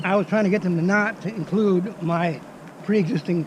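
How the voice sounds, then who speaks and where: Over noticeable background noise, a man talks at a high pitch with ordinary pitch variation. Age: 70s. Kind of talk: interview answer.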